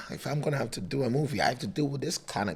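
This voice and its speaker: Very fast, animated delivery with lively intonation over noticeable background noise. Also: man. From Africa. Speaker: DJ and content creator. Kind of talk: casual interview chat. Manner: loud, animated.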